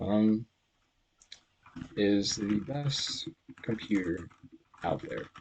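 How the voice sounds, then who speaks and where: This man has a somewhat breathy, fairly low voice. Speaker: programming tutorial creator. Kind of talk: tutorial. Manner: hesitant, many fillers.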